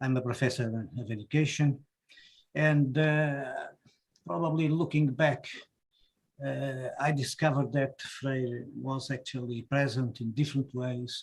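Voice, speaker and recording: The speaker talks fairly slowly in a Portuguese accent, somewhat breathy with fairly even intonation. Long, frequent pauses break up the speech. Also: man, medium pitch for a man. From Portugal, Porto. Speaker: professor. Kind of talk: panel discussion.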